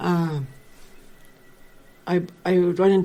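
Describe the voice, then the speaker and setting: In a flat monotone, a woman speaks with a dark, mellow tone at a fairly low pitch. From Cowessess First Nation, Saskatchewan, Canada. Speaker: First Nations elder and knowledge keeper. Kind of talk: interview answer. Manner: candid, conversational.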